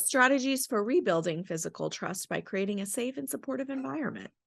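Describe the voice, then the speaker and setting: A put-on, robotic character voice with a fairly high pitch moves at a fairly quick pace. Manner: robotic, flat reading.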